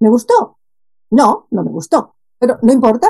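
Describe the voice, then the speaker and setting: A woman speaks with a high pitch and a dark, mellow tone. Her pitch swings very widely. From Spain, Barcelona. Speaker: expat life coach. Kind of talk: casual interview chat.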